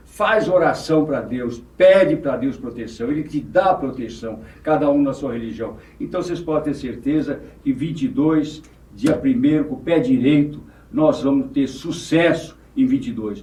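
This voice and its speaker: A man at a fairly slow pace, his fairly high pitch moving in very wide pitch swings. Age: 80s+. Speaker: former mayor and businessman. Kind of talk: podcast interview.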